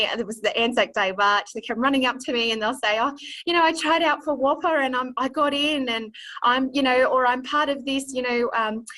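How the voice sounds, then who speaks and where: A woman's high-pitched voice in a strong Australian accent, at a moderate pace with ordinary pitch variation. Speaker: illustrator and drama teacher. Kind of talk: interview. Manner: hesitant, many fillers.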